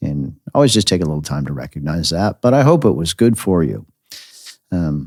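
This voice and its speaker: At a moderate pace, the voice shows vocal fry and very wide pitch swings in an American accent. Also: man, very deep, low pitch for a man. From United States. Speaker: pastor and podcast host. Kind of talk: podcast sermon.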